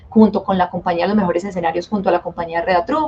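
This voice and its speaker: Talking at a very fast pace with fairly even intonation, the voice comes through noticeable background noise. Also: woman. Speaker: dance teacher. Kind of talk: webinar lecture. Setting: live online webinar.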